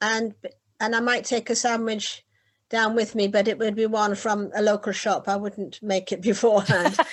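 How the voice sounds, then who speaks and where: A woman with a northern English accent, fairly high-pitched, monotone and flat, at a moderate pace. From northeast England, Whitley Bay. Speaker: beach hut owner and poet. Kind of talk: casual interview.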